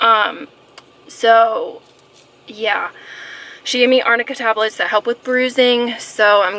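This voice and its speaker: Background noise is clearly audible. A female voice speaks over it. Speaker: beauty vlogger. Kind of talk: casual vlog talk. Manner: hesitant, many fillers.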